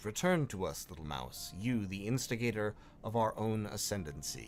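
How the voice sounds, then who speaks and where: A man uses a put-on character voice, rumbling and fairly low-pitched, at a moderate pace against clear background noise. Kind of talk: crisp, cultured speech. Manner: unnerving.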